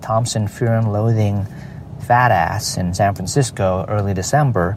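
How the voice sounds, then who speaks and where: Against noticeable background noise, a man with a fairly low pitch speaks at a fairly slow pace with ordinary pitch variation. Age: 40s. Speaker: podcast host. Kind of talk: casual monologue. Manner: halting, many fillers.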